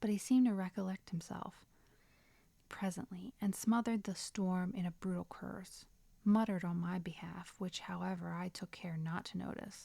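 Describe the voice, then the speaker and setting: Somewhat breathy and dark, mellow in tone, a woman with a medium pitch speaks at a moderate pace with fairly even intonation. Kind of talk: audiobook reading. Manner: whispered.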